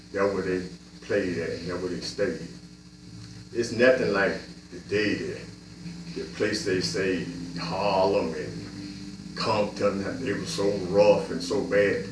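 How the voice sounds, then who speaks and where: Very slow speech from a man with a fairly low pitch, ordinary pitch variation and long, frequent pauses, amid audible room echo and noticeable background noise. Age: 60s. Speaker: community storyteller. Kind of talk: personal monologue. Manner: casual, conversational.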